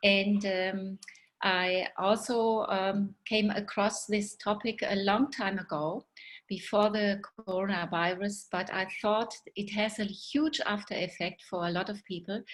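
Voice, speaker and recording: In a German accent, this somewhat breathy voice moves at a fairly slow pace with fairly even intonation. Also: woman, medium pitch for a woman. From Germany. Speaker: guest speaker, doctor. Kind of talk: presentation. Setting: video webinar. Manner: hesitant, many fillers.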